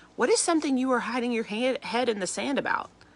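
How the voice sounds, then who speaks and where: A woman's animated tone at a fairly quick pace. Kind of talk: devotional talk. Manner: fast.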